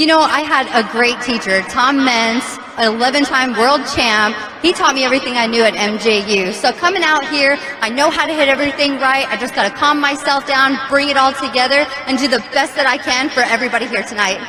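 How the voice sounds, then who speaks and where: Projecting a raised voice at a high pitch, a woman with an American accent talks fairly quickly with ordinary pitch variation, amid audible room echo and noticeable background noise. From Texas, El Paso. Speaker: monster truck driver. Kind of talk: interview. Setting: stadium with audience.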